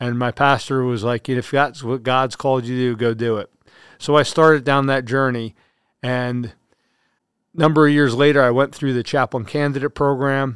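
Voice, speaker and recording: Talking at a moderate pace, a man with an American accent has an unremarkable speaking voice, medium pitch and fairly even intonation. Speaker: army chaplain. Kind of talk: interview.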